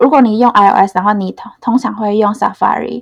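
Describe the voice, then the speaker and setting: Here is a woman with a normal speaking voice and a fairly high pitch. Her intonation stays fairly even. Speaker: front-end engineer. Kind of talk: interview. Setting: studio.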